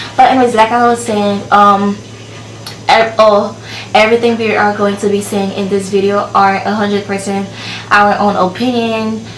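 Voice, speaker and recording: Over noticeable background noise and audible room echo, a woman at medium pitch speaks at a moderate pace in a monotone, flat intonation. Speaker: beauty vlogger. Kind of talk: casual vlog review. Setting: filming alone with camera.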